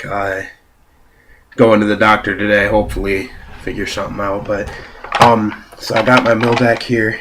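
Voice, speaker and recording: A man with a fairly low pitch speaks at a moderate pace in a monotone, flat delivery with long, frequent pauses, over noticeable background noise. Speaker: card game deck reviewer. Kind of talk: casual talk to camera. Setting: home, laptop camera.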